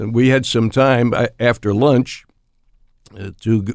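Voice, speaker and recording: With an American accent, a man at medium pitch talks at a very slow pace, his pitch varying in an ordinary way. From Pennsylvania, US. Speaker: retired sports broadcaster. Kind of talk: elder life story, reminiscing in interview. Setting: podcast interview. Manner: slow, rambling, folksy.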